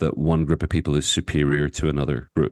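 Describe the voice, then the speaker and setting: A man with a Northern Irish accent talks at a fairly quick pace with vocal fry, the sound dry and close with no echo over a quiet background. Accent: Northern Irish (Belfast). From Northern Ireland, Belfast. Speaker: author and activist. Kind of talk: interview conversation. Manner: talkative.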